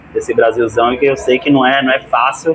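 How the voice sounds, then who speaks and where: Music is in the background. A man talks at a moderate pace. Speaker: YouTube channel host and interviewer. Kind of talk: interview conversation.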